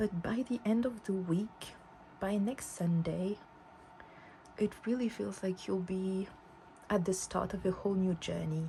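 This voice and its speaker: With a dark, mellow tone and a somewhat breathy quality, a woman at medium pitch talks at a fairly slow pace, her intonation fairly even and her pauses long and frequent. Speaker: tarot reader. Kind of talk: tarot reading to camera. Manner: some stuttering and mixed-up words.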